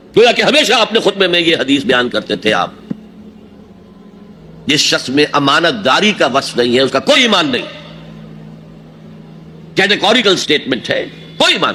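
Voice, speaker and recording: A man talks at a high pitch with very wide pitch swings. Background noise is noticeable. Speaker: Islamic scholar. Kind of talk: religious sermon.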